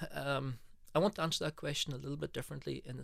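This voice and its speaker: Vocal fry runs through speech at a very fast pace on a very clean recording with a silent background. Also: man. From United Kingdom. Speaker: business executive. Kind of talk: interview.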